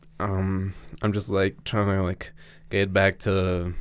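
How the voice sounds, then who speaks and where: Fairly low male speech, very clean recording, silent background. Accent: Spanish. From Mexico. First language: Spanish. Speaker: BMX rider. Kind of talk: casual chat.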